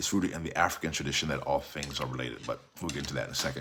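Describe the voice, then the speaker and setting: A man talks with very deep, low pitch and vocal fry. His tone is bright, sharp and animated. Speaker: talk show host and author. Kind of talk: solo talk show. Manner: fast.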